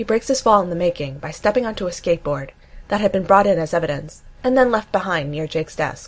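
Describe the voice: Lively intonation marks this plain reading aloud.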